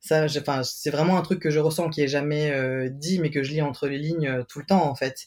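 Fairly high-pitched, a man speaks in an unremarkable speaking voice at a moderate pace, his intonation fairly even and hardly any pauses breaking it up. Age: 30s. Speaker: podcast guest, transmasculine person. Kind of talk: casual chat.

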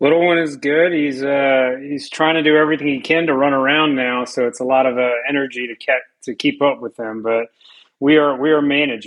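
With an ordinary speaking voice, a man talks at a fairly high pitch with fairly even intonation. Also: fairly quick pace. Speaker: hockey analyst and podcast partner. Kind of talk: casual interview chat.

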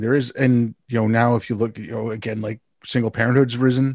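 At a moderate pace, a man with a Montreal accent talks at a medium pitch with fairly even intonation over a quiet background. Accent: Canadian (Montreal). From Montreal, Canada. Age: 50s. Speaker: podcast host. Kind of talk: casual interview chat.

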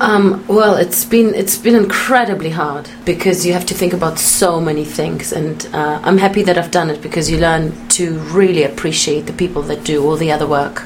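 A woman talks at a moderate pace with ordinary pitch variation amid noticeable background noise. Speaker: actor. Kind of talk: radio interview chat.

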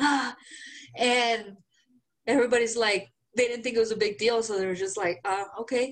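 A woman's animated voice, fairly high-pitched, with a Mexican accent. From Mexico (Guanajuato, Mexico City). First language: Spanish. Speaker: podcast co-host. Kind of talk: casual chat. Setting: video call.

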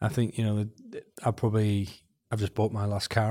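A man with a Welsh accent, fairly low pitch and a very fast pace, on a very clean recording with a silent background. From Wales. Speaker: transport agency director. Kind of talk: interview.

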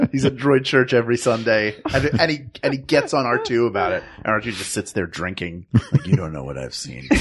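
Hardly pausing, a man talks at a fairly quick pace with lively intonation. He has an unremarkable speaking voice at a medium pitch. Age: 40s. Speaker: improviser and voice actor. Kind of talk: casual chat.

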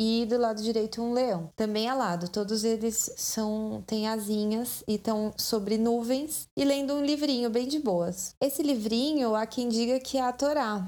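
Hardly pausing, a woman with a fairly high pitch and a dark, mellow tone speaks at a fairly slow pace, with very even loudness and ordinary pitch variation. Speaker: podcast host. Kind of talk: scripted narration. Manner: casual.

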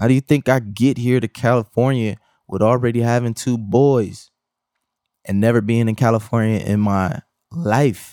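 Moderate pace from a man of medium pitch, fairly even intonation, in a dry, close sound with no echo. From Milwaukee, Wisconsin. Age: 30s. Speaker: podcast host, video editor. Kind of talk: solo podcast rant. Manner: casual, conversational.

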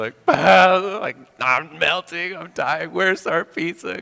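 A man's whiny put-on character voice, high for a man, at a very slow pace. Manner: theatrical, whining.

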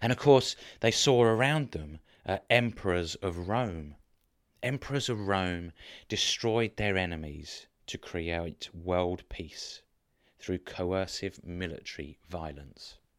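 Over a silent background on a very clean recording, a man speaks at a very slow pace in a very deep, low pitch with lively intonation. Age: 40s. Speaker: preacher. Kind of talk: sermon. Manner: halting.

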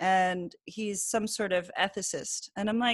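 Against a quiet background, a woman with an American accent and a plain, everyday voice speaks at medium pitch with ordinary pitch variation, the sound dry and close with no echo. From New Jersey. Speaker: podcast host. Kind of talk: casual chat. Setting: remote call.

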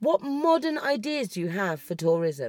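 Shouting at a fairly slow pace with very wide pitch swings, a woman with an English accent is heard in a very clean recording with a silent background. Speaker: podcast host. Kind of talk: political rant. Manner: shouty; animated.

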